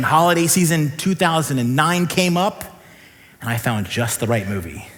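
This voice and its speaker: Over audible room echo, a man with an American accent speaks in an animated tone at a fairly high pitch and a fairly quick pace. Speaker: pastor. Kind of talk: sermon. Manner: fast.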